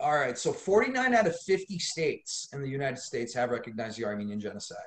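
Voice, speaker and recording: A man with an American accent talks very fast in a somewhat breathy, fairly high voice. His pitch swings very widely. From Los Angeles, US. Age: 30s. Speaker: lawyer and activist. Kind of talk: podcast interview. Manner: animated.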